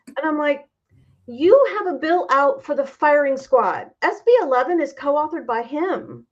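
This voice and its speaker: A woman with a Midwestern American accent talks in a high pitch with lively intonation. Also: moderate pace. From Indiana, Clinton. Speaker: political candidate and university teacher. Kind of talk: interview conversation.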